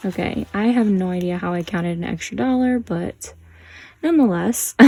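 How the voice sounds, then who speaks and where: A soft-spoken woman's dark, mellow tone with lively intonation at a moderate pace. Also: medium pitch for a woman. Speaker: budgeting youtuber. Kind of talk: tutorial.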